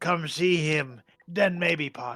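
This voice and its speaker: A man puts on a character voice. His pitch sits high. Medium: actual play. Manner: broken grammar, simple speech.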